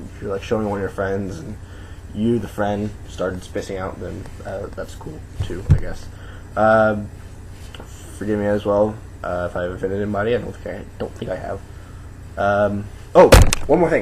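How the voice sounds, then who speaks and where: A man with a fairly low pitch talks in fairly even intonation, with long, frequent pauses and big swings in loudness. Audible room echo and noticeable background noise fill the recording. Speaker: video blogger. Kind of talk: casual vlog monologue. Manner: fast.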